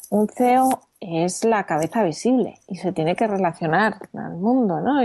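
With lively intonation and a dark, mellow tone, a woman speaks at a very slow pace. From Spain, Madrid. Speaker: entrepreneur. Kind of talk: interview.

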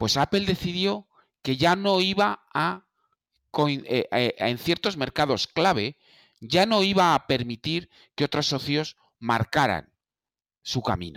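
Very slow and full of long, frequent pauses, a man with a fairly high pitch and vocal fry swings his pitch very widely on a very clean recording with a silent background. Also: dry, close sound with no echo. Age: 50s. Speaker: Apple expert. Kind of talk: casual discussion.

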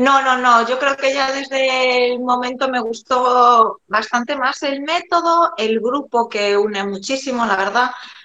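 With a Galician accent and a high pitch, a woman speaks at a fairly slow pace with ordinary pitch variation and hardly any pauses, over noticeable background noise. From Galicia, Spain (A Coruña). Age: 40s. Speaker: amateur runner. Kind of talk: casual interview.

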